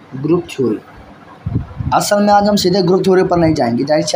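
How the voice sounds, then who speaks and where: A man speaks over noticeable background noise. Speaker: maths teacher. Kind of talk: lecture. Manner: soft-spoken.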